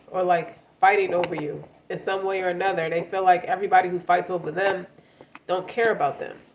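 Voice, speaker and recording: A woman talks at a fairly quick pace in a medium pitch, her intonation monotone and flat. Noticeable background noise runs behind her. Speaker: tarot reader. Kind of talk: tarot reading. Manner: halting.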